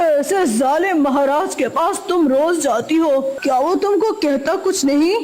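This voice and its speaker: A cartoonish character voice runs on with hardly any pauses. Clear background noise sits behind it. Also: moderate pace. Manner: menacing, gloating laugh.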